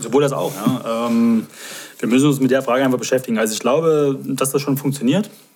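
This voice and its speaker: A man's medium-pitched voice at a fairly quick pace, ordinary pitch variation, noticeable background noise behind him. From Saxony, near Dresden. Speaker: guest, new resident. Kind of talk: casual chat.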